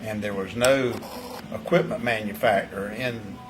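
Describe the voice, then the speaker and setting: Over background music and audible room echo, a man speaks with an eastern North Carolina accent. His pitch is medium. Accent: Southern US, eastern North Carolina. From North Carolina, Bladen County. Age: 70s. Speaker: vineyard owner. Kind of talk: interview. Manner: halting, many repeated words.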